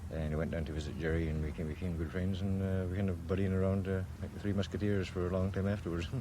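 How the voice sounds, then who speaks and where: A man with a Scottish accent speaks very fast in a very deep, low voice with a dark, mellow tone. His intonation stays fairly even, and the room echo is audible. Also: hardly any pauses. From Scotland, then Canada from age 11. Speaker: sculptor and painter. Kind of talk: interview. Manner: hesitant, many fillers.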